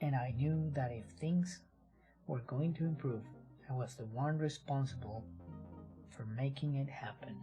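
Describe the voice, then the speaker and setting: With music in the background, the speaker uses a calm, gentle tone at a fairly slow pace, leaving long, frequent pauses. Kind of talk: ASMR book reading. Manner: calm, gentle rhythm.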